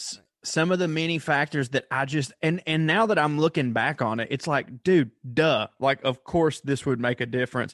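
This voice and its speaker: A man with a Southern US accent speaks at a moderate pace and a fairly high pitch, with ordinary pitch variation. The sound is dry and close with no echo, and the background is quiet. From US South. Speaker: comedian. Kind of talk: casual chat. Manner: animated.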